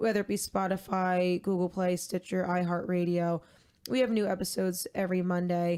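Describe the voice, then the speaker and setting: Moderate pace in a very clean recording with a silent background. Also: woman. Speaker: podcast co-host. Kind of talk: casual chat. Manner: monotone; deadpan.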